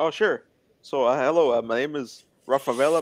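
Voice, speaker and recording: A plain, everyday voice with an American accent carries ordinary pitch variation. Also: man. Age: 20s. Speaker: interview guest with muscular dystrophy. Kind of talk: casual interview chat. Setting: live stream.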